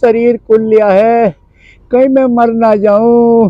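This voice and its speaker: Speech comes at a very slow pace in a monotone, flat intonation, with a dry sound with no echo and a quiet background. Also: man, extremely high pitch for a man. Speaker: comic sick villager character. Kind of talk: acted comedy skit dialogue. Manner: weak, complaining sick man's voice. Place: open country.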